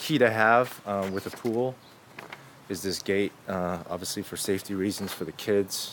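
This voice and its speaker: A man at a fairly low pitch and moderate pace with fairly even intonation, amid noticeable background noise. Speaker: real estate agent. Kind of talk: property video tour. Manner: hesitant, many fillers.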